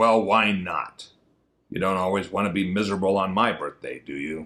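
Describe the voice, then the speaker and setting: A man's raspy put-on character voice, fairly low in pitch, at a moderate pace. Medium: read story. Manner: glum, dry, deadpan.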